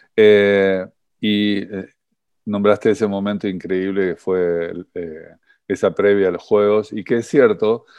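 A man speaks at a very slow pace and a fairly low pitch. His intonation is fairly even, with long, frequent pauses. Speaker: rowing coach and podcast host. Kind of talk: interview.

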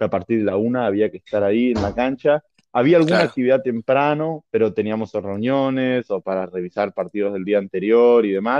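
In a plain, everyday voice, a man talks fairly quickly with hardly any pauses, at a medium pitch with ordinary variation. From Argentina. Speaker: American football referee and coach. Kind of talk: casual interview.

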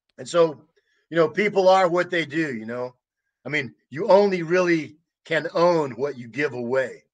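In an American accent, the speaker uses a normal speaking voice at a moderate pace with ordinary pitch variation. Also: man, fairly high pitch for a man. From United States. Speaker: war veteran. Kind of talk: interview.

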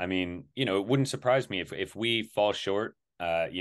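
There's an ordinary speaking voice from a man, fairly low in pitch. He talks at a fairly quick pace over a quiet background. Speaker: co-host, football fan. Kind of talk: casual sports chat.

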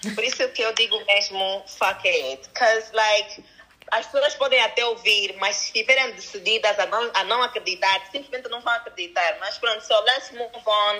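A woman's fairly high voice moves at a moderate pace with ordinary pitch variation, noticeable background noise present throughout. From DR Congo. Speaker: entrepreneur. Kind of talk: casual chat.

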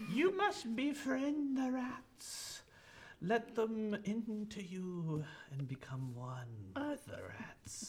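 A put-on character voice from a man, very slow and high in pitch. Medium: actual play. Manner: creepy, wheedling, then commanding.

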